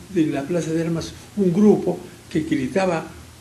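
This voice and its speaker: Amid audible room echo and noticeable background noise, a man with a high pitch talks at a very slow pace with ordinary pitch variation. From Peru, Arequipa. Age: 80s+. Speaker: engineer, businessman and former politician. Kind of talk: interview, personal storytelling. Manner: halting with stammered repeats.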